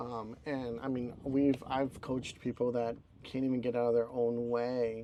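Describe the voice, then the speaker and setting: With a dark, mellow tone, a man speaks at medium pitch and a moderate pace. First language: not English. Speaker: podcast co-host. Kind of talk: casual chat. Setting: live recording at a beach town.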